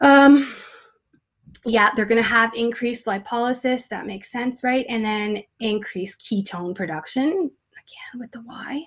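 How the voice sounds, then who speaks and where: Speaking at a fairly slow pace with a Canadian accent, a woman has a fairly high voice with ordinary pitch variation. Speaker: nursing instructor. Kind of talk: lecture. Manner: halting, many fillers.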